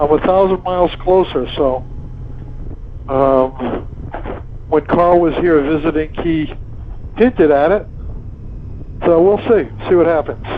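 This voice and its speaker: A man at a fairly high pitch with ordinary pitch variation, fairly slow and with long, frequent pauses, over noticeable background noise. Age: 70s. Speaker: motovlogger. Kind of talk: casual vlog narration while riding. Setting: riding a motorcycle outdoors. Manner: halting, many fillers.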